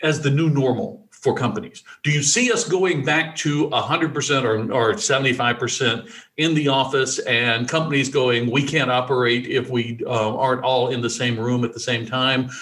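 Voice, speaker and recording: A man with an American accent speaks in a normal speaking voice, fairly high in pitch and at a fairly slow pace. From US South, rural Alabama. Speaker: podcast host, developer. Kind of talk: casual chat.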